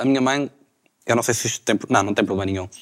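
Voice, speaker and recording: Recorded very cleanly against a silent background, a man's voice sounds dry and close with no echo. His pitch varies in an ordinary way. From Portugal, Maia (Porto area). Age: 20s. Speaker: law student. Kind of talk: casual chat.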